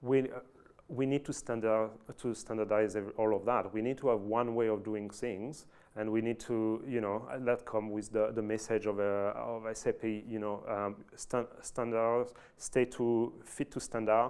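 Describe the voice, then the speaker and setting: Someone with a French accent speaks at a moderate pace in a monotone, flat intonation. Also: man, medium pitch for a man. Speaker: IT manager at an oil and gas company. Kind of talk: fireside chat presentation. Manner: halting, many fillers and restarts.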